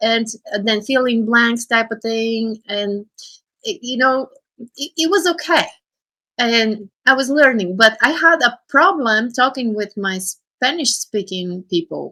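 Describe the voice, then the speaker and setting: A woman's bright, sharp voice with a non-native accent, lively intonation and a fairly slow pace. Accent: foreign. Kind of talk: casual chat. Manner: halting.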